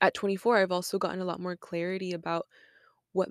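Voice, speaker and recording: At a medium pitch, a woman talks in a flat monotone, with a dry, close sound with no echo and a very clean recording with a silent background. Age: 20s. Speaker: podcast host. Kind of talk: solo reflective monologue. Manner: casual, many filler likes.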